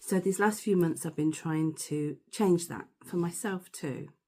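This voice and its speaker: In a British accent, a woman with a very deep, low pitch and a dark, mellow tone talks at a fairly slow pace on a very clean recording with a silent background. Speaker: stammering course tutor. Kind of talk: personal testimony.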